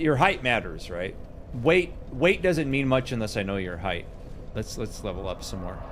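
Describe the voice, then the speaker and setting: At a moderate pace, a man of medium pitch makes very wide pitch swings, with audible room echo. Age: 40s. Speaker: gaming streamer. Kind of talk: casual live stream chat while gaming. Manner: casual, filler-heavy.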